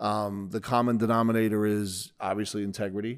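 The recording of this man is very clean, with a silent background. He talks with an American accent. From Bayonne, New Jersey. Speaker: podcast host and financial advisor. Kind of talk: interview.

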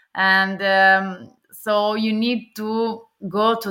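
A woman with an Italian accent speaks at medium pitch in a bright, sharp tone with fairly even intonation. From Italy. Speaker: AI ethics expert. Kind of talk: interview. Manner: hesitant, many fillers.

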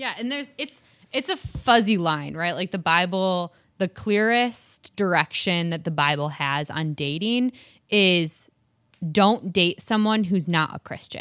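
In a very clean recording with a silent background and a dry, close sound with no echo, a woman with a Michigan accent talks with lively intonation at a fairly low pitch. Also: fairly slow pace. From Michigan, US. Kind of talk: casual chat.

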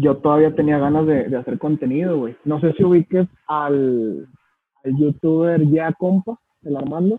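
A man speaks with a fairly high pitch and ordinary pitch variation. His pace is fairly slow. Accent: Mexican. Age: 20s. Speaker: youtuber and entrepreneur. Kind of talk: casual chat.

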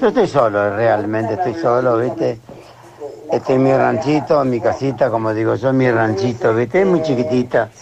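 At a moderate pace and medium pitch, a man speaks with ordinary pitch variation and very even loudness over noticeable background noise. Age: 70s. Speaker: caller. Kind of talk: casual chat.

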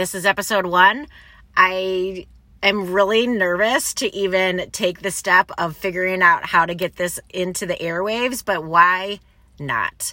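A woman with a Midwestern American accent speaks at medium pitch and a fairly slow pace in a very clean recording with a silent background. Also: ordinary pitch variation. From Michigan, US Midwest. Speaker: podcast host. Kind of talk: personal monologue. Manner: casual.

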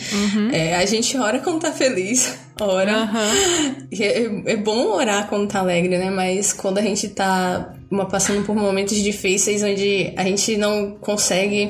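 Delivered at a fairly slow pace with hardly any pauses, the speech has very even loudness and ordinary pitch variation, set against noticeable background noise and audible room echo. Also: woman, medium pitch for a woman. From Bahia, Brazil. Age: 20s. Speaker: student and churchgoer. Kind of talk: casual chat.

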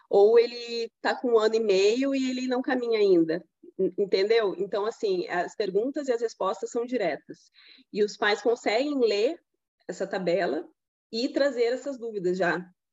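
Her intonation is lively as this woman speaks. Her pitch is fairly high and her pace fairly slow. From Rio Grande do Sul, Brazil. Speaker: pediatrician. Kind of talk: interview. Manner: halting, many fillers and repetitions.

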